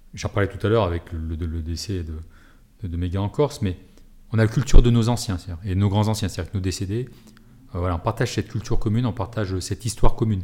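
A man's very fast, somewhat breathy voice, fairly low in pitch with a dark, mellow tone, ordinary pitch variation and long, frequent pauses. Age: 40s. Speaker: military rescue and firefighting unit officer. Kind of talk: interview.

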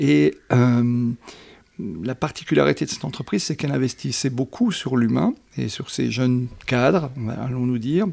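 A man's medium-pitched voice moves at a moderate pace, its pitch swinging very widely. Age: 60s. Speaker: business school professor and coach trainer. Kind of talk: interview. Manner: hesitant with many fillers.

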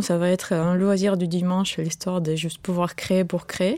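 Her tone is dark and mellow. The woman keeps to a moderate pace. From Ukraine. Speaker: museum founder and digital artist. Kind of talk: radio interview.

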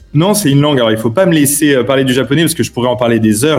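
A man with a fairly high pitch and ordinary pitch variation rattles along very fast amid noticeable background noise. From Paris, France. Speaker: newspaper editor. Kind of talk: interview. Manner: halting.

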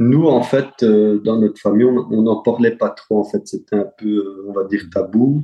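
In a plain, everyday voice, a man speaks at medium pitch and a fairly slow pace, with fairly even intonation and hardly any pauses. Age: 30s. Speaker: real estate investor. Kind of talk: interview.

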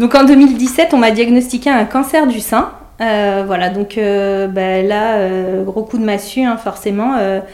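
A woman's fairly high voice at a very slow pace, with ordinary pitch variation and noticeable background noise. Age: 30s. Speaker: nurse. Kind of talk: testimony. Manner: halting, many hesitations.

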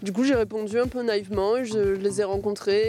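At a moderate pace, a woman with a normal speaking voice talks in a fairly high pitch with ordinary pitch variation. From southern France, Var. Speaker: musician, guitarist. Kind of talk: interview.

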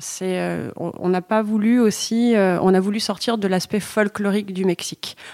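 A woman at medium pitch, monotone and flat in intonation, at a fairly slow pace with hardly any pauses, over noticeable background noise. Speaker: brand co-founder. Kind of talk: interview.

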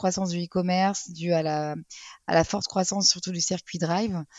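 A plain, everyday voice at a moderate pace. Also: woman. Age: 30s. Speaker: retail advertising sales manager. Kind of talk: casual interview.

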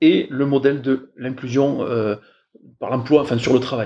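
Medium pitch from a man, ordinary pitch variation, and a dark, mellow tone. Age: 40s. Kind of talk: interview. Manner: hesitant, many fillers.

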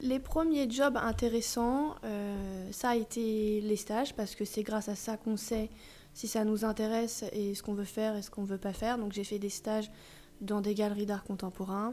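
A woman's fairly high pitch with a dark, mellow tone, fairly even intonation and a moderate pace. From Paris suburbs, Yvelines. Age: 30s. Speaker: vintage dealer. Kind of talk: casual interview. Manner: hesitant, many fillers.

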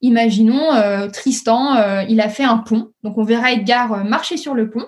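This woman's voice sits fairly high. She speaks at a fairly slow pace. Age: 30s. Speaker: startup founder. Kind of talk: interview. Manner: hesitant, many fillers.

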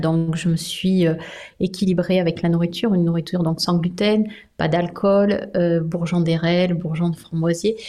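A woman with a fairly low pitch speaks at a fairly slow pace, her loudness very even. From Brittany, France. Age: 50s. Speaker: sophrologist and psychoanalyst, author. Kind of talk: interview.

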